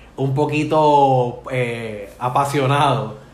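Audible room echo surrounds a man's voice. His pitch is fairly high, with ordinary pitch variation. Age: 40s. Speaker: podcast host. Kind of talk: casual chat.

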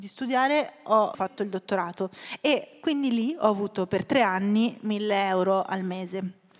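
A woman's normal speaking voice at a medium pitch, with ordinary pitch variation, a fairly slow pace and a very clean recording over a silent background. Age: 30s. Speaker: writer. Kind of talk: interview.

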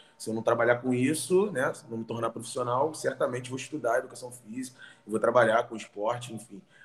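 Here is a plain, everyday voice from a man with lively intonation. He keeps to a moderate pace. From Rio de Janeiro, Brazil. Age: 30s. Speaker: fitness professional. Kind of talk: casual interview.

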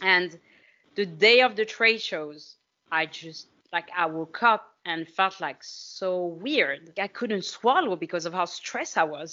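A woman with a French accent, medium pitch, ordinary pitch variation, and a fairly slow pace. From France. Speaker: fitness coach. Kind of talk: casual chat. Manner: animated.

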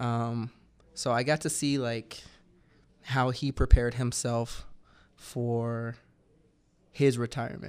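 Very slow and full of long, frequent pauses, a man with an American accent speaks in a monotone, flat intonation. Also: medium pitch for a man, very clean recording, silent background. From US South, Georgia (Atlanta area). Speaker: retired professional soccer player. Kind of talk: casual interview. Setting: radio studio.

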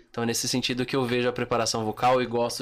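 Delivered at a very fast pace, the man's medium-pitched voice stays in a monotone, flat intonation. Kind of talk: casual chat.

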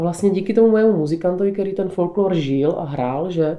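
A woman speaks at a fairly quick pace with a dark, mellow tone. Her pitch shifts an ordinary amount. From South Moravia, Podluží (Břeclav area). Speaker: folk ornament painter. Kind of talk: interview.

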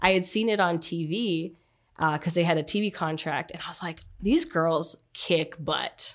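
The speaker has a plain, everyday voice and a moderate pace. The recording is very clean, with a silent background. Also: woman. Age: 30s. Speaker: athlete. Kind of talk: casual interview.

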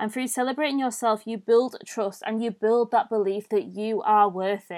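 On a very clean recording with a silent background, a woman with a British accent and fairly high pitch speaks at a moderate pace with ordinary pitch variation. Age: 20s. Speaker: mindset and self-love coach, podcast host. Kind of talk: solo podcast monologue. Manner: informal, conversational.

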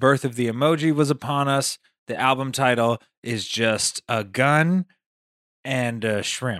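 A man with an American accent speaks at a fairly slow pace in a plain, everyday voice, medium in pitch with ordinary pitch variation, and the sound is dry and close with no echo. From Las Vegas, Nevada. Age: 20s. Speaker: comedian and rapper. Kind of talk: casual chat.

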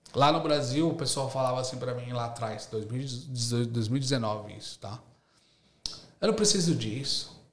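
In a room with audible echo, a man speaks at a fairly slow pace and medium pitch, with ordinary pitch variation and big swings in loudness. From São Paulo city, East Zone, Brazil. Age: 30s. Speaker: university lecturer and entrepreneur. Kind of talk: casual interview chat.

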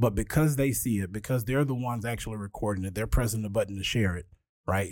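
Recorded very cleanly against a silent background, a man speaks in a fairly low voice with ordinary pitch variation. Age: 30s. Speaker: history museum director. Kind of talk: casual chat. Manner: passionate.

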